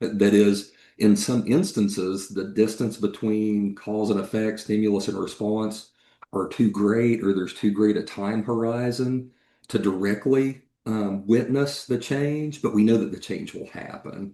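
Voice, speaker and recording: A man's fairly low, dark and mellow voice with an American accent, fairly slow and fairly even in intonation. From East Tennessee. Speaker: cybersecurity executive and AI ethicist. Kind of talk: podcast interview.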